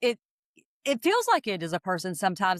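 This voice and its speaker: Recorded dry and close with no echo, a woman with a slight Southern US accent speaks in a bright, sharp tone. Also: very clean recording, silent background. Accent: slight Southern US country. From US Southeast. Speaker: AI consultant and astrologer, co-host. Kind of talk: casual explanatory chat. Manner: halting, many repeated words.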